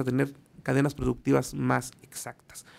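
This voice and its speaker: Using vocal fry, a man talks with fairly even intonation. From Mexico City. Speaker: radio commentator on small business; radio show host or commentator. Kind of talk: radio segment report; radio talk show commentary. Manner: hesitant with fillers. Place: studio. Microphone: studio mic.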